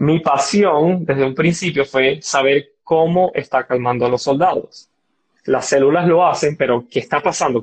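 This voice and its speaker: Speaking at a fairly slow pace, a man with a fairly high pitch and a somewhat breathy voice keeps very even loudness and ordinary pitch variation. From Venezuela, Barinas (llanos). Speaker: biomedical engineer and entrepreneur. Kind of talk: casual interview.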